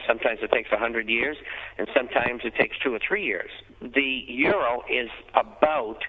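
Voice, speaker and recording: Speaking with an American accent at a moderate pace, a man is heard over noticeable background noise. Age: 70s. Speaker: financial newsletter editor. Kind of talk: interview.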